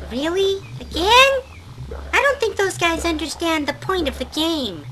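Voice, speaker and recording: This is a cartoonish character voice at a moderate pace. Clear background noise sits behind it. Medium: puppet show. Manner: dry, sarcastic, grumbling.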